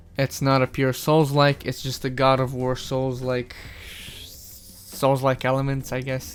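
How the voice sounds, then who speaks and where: A man's monotone, flat intonation is heard with music in the background. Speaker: gaming reviewer. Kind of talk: casual game review talk. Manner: casual, rambling.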